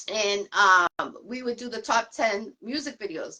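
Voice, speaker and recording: A woman speaks at a moderate pace with a Boston accent, her tone bright and sharp and her pitch varying in an ordinary way. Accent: Boston accent, mistaken for New York. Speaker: podcast host. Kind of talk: casual interview chat.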